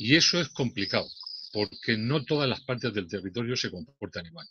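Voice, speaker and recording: His loudness swings a lot as a man with a medium pitch and a bright, sharp tone speaks with lively intonation. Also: moderate pace. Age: 60s. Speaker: debate participant. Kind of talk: casual discussion. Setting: video call. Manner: halting.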